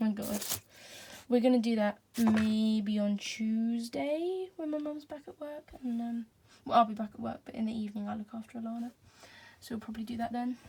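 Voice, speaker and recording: At a fairly quick pace, a woman speaks in a fairly high voice. Her pitch varies in an ordinary way, while her loudness swings widely. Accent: English. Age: 20s. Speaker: vlogger. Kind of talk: casual vlog talk. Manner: hesitant, lots of ums.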